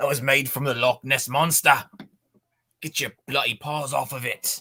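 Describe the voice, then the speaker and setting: Putting on a raspy character voice, a man speaks at a moderate pace and a medium pitch. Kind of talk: bad, unconvincing accent.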